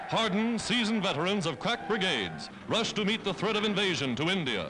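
Over noticeable background noise, a man talks in a raised, projected voice at a fairly quick pace with hardly any pauses. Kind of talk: newsreel narration. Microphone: old recording.

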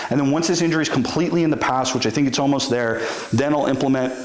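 A man rattles along at a very fast pace with ordinary pitch variation, his voice carrying audible room echo. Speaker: strength coach. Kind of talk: tutorial. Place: studio.

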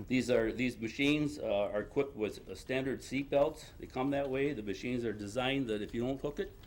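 Talking at a fairly quick pace with hardly any pauses, a man with an American accent keeps a medium pitch and fairly even intonation. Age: 60s. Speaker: ATV club member speaking at public meeting. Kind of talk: public comment at village board meeting. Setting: village board meeting. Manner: halting, many fillers.

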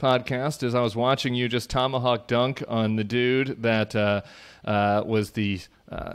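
Against a quiet background, a man speaks fairly slowly with fairly even intonation. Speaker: podcast host. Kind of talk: podcast host outro and intro chat. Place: home room. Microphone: studio mic.

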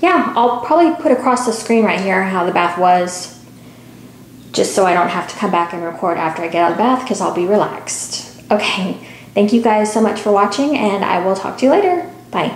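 Amid light background noise and audible room echo, a woman talks at a fairly quick pace with lively intonation. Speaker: product reviewer. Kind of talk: casual product demo chat. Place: bathroom. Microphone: phone near.

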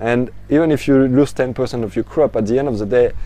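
A man with a French accent speaks at a fairly slow pace, the sound dry with no echo and light noise in the background. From France. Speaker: aquaponics educator. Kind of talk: tutorial. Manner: halting, many fillers. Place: garden. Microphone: lapel.

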